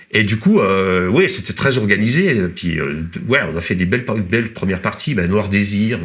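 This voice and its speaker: With lively intonation, a man speaks at a moderate pace and a fairly low pitch. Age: 50s. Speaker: trail runner and former rock musician. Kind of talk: casual interview chat. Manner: halting, many hesitations.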